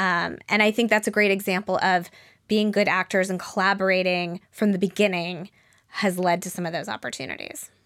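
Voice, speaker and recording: On a very clean recording with a silent background, a woman with an American accent speaks at a fairly quick pace. Hers is an unremarkable speaking voice, medium in pitch, with fairly even intonation. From Denver, Colorado, US. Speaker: startup founder and CEO. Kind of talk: interview.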